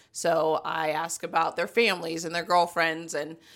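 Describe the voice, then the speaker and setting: With a Southern US accent, a woman speaks at a moderate pace, with a fairly low pitch and a bright, sharp tone, in a very clean recording with a silent background. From US South, Columbia, South Carolina. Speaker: college football recruiting director. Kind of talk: podcast interview.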